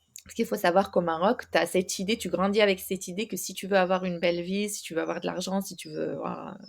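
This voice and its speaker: Fairly quick speech from a woman with a medium pitch, vocal fry, and a slight Moroccan accent. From Morocco. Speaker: ADHD consultant. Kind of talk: podcast interview. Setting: recorded podcast. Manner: hesitant, many fillers.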